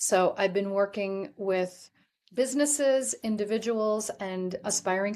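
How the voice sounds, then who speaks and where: This is a woman with an ordinary speaking voice at medium pitch. She talks at a moderate pace. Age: 60s. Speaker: life coach and author. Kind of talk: interview.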